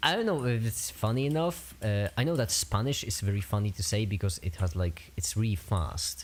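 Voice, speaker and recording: Hardly pausing at all, the speaker talks with a Polish accent. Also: fairly quick pace. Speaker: streamer. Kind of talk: casual chat. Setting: livestream. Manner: halting.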